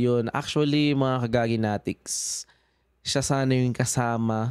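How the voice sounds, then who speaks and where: A man speaks at a very slow pace, his voice dry and close with no echo. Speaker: podcast host. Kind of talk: casual chat. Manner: halting.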